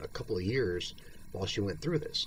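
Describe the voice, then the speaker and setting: A man at a medium pitch talks with vocal fry. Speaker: video blogger with multiple sclerosis. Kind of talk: personal monologue. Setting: at home, bedridden or in chair. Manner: halting.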